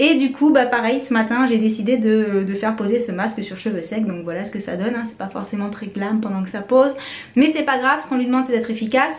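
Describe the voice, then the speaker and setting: Rapid-fire talking amid noticeable background noise and an audible echo from the room, its pitch moving in an ordinary way. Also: woman, fairly high pitch for a woman. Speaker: beauty vlogger, mother. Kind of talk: casual vlog. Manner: fast.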